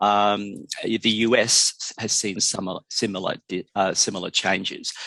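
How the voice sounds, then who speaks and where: A man speaks with an Australian accent in a fairly low pitch. The sound is dry and close, with no echo. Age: 60s. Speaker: drug education expert. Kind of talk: interview. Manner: halting.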